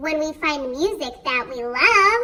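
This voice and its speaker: Putting on a squeaky character voice, a woman speaks at a high pitch and a fairly slow pace. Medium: read story.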